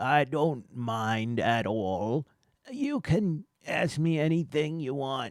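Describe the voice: Very slowly, a man delivers his lines in a put-on character voice. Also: fairly high pitch for a man.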